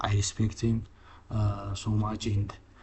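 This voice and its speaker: A man with a non-native accent speaks at a moderate pace in a fairly low, somewhat breathy voice. His intonation is monotone and flat. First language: not English. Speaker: trading content creator. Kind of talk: casual chat; tutorial. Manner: halting, many fillers and restarts.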